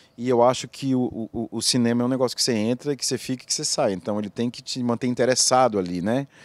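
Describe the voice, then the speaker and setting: A man at a very fast pace with hardly any pauses, fairly even intonation and a dry sound with no echo. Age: 50s. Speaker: film director. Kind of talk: interview. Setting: film festival. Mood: reflective, moved. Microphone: handheld.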